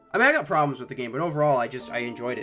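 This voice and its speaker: With music in the background, a man speaks at a fairly high pitch. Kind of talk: personal reflective talk to camera. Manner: hesitant, stuttering, pausing.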